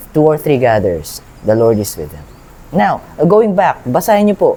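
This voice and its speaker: At a moderate pace, a man talks with lively intonation in a fairly high voice. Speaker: Bible reader and lay preacher. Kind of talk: Bible reading with commentary. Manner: halting, many restarts; code-switching Tagalog and English.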